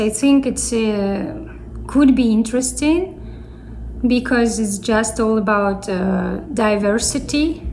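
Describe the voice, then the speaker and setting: Amid noticeable background noise and audible room echo, a woman with a Russian accent speaks at a very slow pace, her fairly high pitch showing ordinary variation. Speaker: YouTuber. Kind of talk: casual chat.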